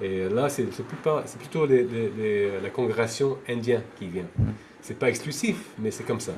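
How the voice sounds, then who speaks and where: A man speaks at a fairly slow pace with a medium pitch. Noticeable background noise runs underneath. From France. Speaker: devotee of a temple community. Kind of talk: interview. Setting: video call. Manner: halting, many hesitations.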